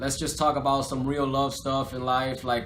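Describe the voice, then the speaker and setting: In a Spanish accent, the speaker talks at a fairly quick pace with audible room echo. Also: man. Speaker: rapper. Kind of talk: interview. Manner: casual, filler-heavy.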